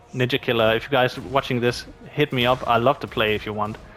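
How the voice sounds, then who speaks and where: Fairly quick speech from a man at medium pitch, noticeable background noise behind it. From Denmark. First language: Danish. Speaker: gaming YouTuber. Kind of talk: casual Q&A monologue. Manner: casual, halting with fillers.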